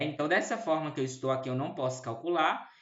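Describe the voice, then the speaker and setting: A man's voice with audible room echo. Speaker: math teacher. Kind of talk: lecture.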